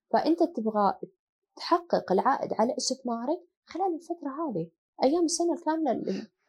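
Her voice is high in pitch. The woman talks at a moderate pace with lively intonation. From Saudi Arabia, Asir roots. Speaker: hotel company CEO. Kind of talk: interview conversation.

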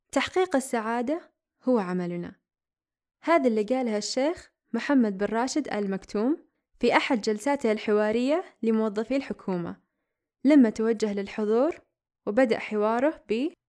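A woman with an ordinary speaking voice, fairly high in pitch, with lively intonation and a fairly slow pace. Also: very clean recording, silent background. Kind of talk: scripted narration.

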